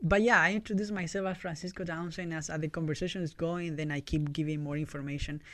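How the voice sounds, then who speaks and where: A man with a Chilean accent, high in pitch, at a very fast pace with hardly any pauses and fairly even intonation. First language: Spanish. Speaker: YMCA community worker. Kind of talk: interview. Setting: studio.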